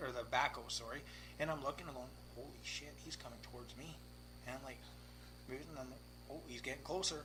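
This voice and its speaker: A man talks at a fairly quick pace with long, frequent pauses, and audible room echo surrounds his voice. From Victoria, British Columbia, Canada. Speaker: race car driver. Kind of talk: casual chat. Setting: garage. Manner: animated.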